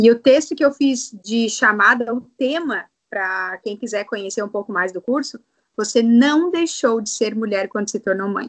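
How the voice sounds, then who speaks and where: A normal speaking voice from a woman, fairly high in pitch, at a moderate pace with ordinary pitch variation. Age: 30s. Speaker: sexologist. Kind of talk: interview.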